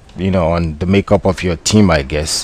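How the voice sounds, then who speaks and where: Speaking with a West African accent, a man uses a fairly low pitch. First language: not English. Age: 20s. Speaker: gaming commentator. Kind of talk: gameplay commentary. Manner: hesitant, many fillers.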